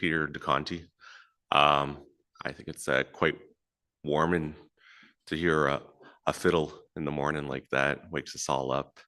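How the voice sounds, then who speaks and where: A man speaks at a very deep, low pitch with a bright, sharp tone and vocal fry. His intonation is monotone and flat. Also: quiet background. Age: young. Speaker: First Nations chief. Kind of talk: welcome speech.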